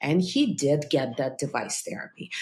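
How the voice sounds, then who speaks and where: With an American accent, the speaker sounds somewhat breathy. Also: woman. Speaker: cardiologist and podcast host. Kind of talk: casual interview conversation.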